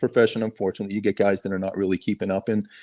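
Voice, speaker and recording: Recorded against a quiet background, a man with an American accent comes through with a dry, close sound and no echo. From Boston suburbs, Massachusetts. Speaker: sheriff's helicopter pilot. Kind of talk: podcast interview.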